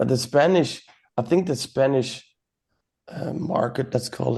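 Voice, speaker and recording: At a moderate pace, a man with a Dutch accent speaks in a dark, mellow tone at medium pitch. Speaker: podcast host. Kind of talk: casual chat.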